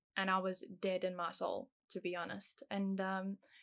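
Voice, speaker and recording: A woman with a South African accent, at a fairly slow pace. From South Africa, moved to England at ten. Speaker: guest sharing faith testimony. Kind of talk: testimony.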